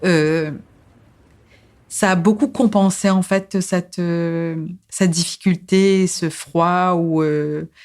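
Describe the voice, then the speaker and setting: A Mauritian accent at a very slow pace, with fairly even intonation and long, frequent pauses, in a very clean recording with a silent background. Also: woman, fairly low pitch for a woman. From Mauritius. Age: 40s. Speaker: psychosociologist and social activist. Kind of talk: podcast interview, personal life story. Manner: hesitant, many fillers and repetitions.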